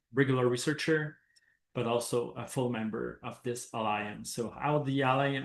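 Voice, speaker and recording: A man talks in a Quebec accent. His pitch is medium. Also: quiet background. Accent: French-Canadian accent in English. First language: French. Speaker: professor and researcher. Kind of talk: academic presentation. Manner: hesitant, many fillers.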